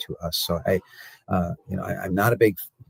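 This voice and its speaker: A somewhat breathy male voice in a dry, close sound with no echo. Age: 60s. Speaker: cattle market analyst and commodity broker. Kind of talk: interview. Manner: halting, many fillers and repeated words.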